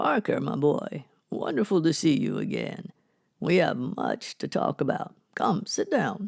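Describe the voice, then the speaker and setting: A man's gruff, put-on character voice, high in pitch, at a moderate pace, in dry, close sound with no echo. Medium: audio drama. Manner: firm, commanding.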